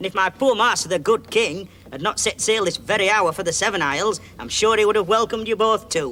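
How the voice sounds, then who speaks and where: A gruff, put-on character voice from a man, high-pitched, at a moderate pace. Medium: audio drama. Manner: gruff, mishears, grumbling.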